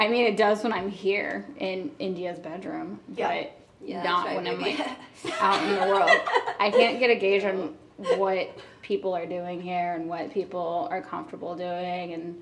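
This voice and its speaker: A woman with a medium-pitched voice talks at a fairly slow pace, leaving long, frequent pauses. Background noise is noticeable throughout. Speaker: podcast guest.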